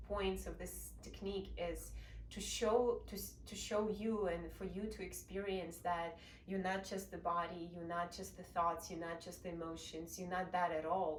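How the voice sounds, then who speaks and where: Audible room echo and noticeable background noise surround a woman speaking in a Russian accent. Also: moderate pace. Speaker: meditation practitioner sharing experience. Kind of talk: informal explanation talk.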